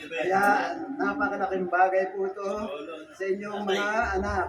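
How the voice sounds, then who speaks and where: Noticeable background noise and audible room echo surround a man speaking at a moderate pace and a high pitch. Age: 80s+. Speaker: elderly family patriarch. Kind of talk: family speech giving life advice.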